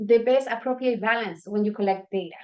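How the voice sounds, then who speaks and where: A woman with a non-native accent speaks in a high pitch and with lively intonation. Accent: non-native English, self-noted pronunciation. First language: not English. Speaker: workshop presenter. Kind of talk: workshop presentation. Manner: hesitant, with fillers and restarts.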